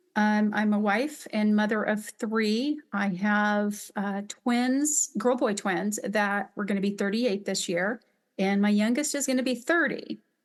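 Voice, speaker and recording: Against a quiet background, a woman with an American accent speaks in a plain, everyday voice. Her pitch is fairly high, with ordinary variation. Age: 50s. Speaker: upholsterer and business owner. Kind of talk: interview.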